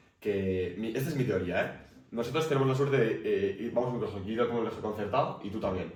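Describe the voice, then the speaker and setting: Very fast speech from a man at medium pitch, ordinary pitch variation, audible room echo and noticeable background noise. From Basque Country, Spain. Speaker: podcast co-host. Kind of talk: casual debate.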